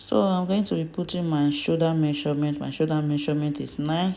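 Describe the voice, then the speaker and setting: A woman's very deep, low voice with a non-native accent. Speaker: fashion design instructor. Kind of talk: tutorial.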